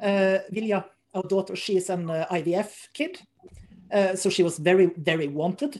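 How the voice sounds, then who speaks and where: Woman's medium-pitched voice with a Norwegian accent, ordinary pitch variation and a moderate pace. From Norway. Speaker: strongman athlete and competition organizer. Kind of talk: interview.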